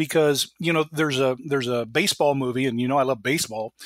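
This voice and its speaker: Using a plain, everyday voice, a man talks at a fairly quick pace and fairly high pitch with fairly even intonation, the sound dry and close with no echo. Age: 50s. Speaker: aviation analyst and entrepreneur. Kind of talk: interview.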